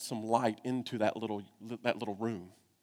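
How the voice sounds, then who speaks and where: A man with a Southern US accent in a very clean recording with a silent background. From Kentucky. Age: 40s. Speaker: pastor. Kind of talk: sermon.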